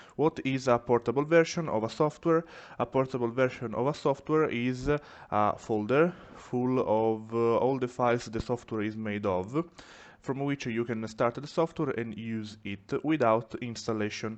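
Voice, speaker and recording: A man talks at medium pitch with ordinary pitch variation. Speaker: 3D printing maker, tutorial creator. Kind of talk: software tutorial. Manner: careful, deliberate.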